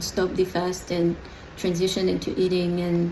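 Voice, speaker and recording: A woman speaks over noticeable background noise. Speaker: adoptee vlogger. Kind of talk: personal video diary. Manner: slow; hesitant, many fillers.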